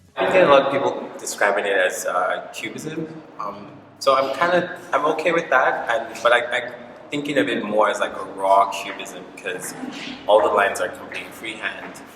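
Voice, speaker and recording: A man talks at a medium speed, with room echo audible and background noise noticeable. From Nigeria, Lagos. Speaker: visual artist. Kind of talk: interview. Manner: casual, many fillers.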